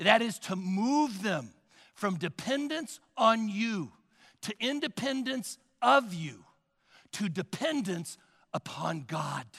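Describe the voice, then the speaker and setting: With a bright, sharp tone and a high pitch, a man speaks at a very slow pace, taking long, frequent pauses and making very wide pitch swings. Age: 60s. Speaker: pastor. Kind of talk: sermon. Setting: church.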